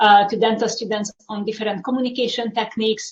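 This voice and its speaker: In a Hungarian accent, a woman talks fairly quickly at a fairly high pitch. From Hungary. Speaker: university instructor. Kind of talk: panel presentation.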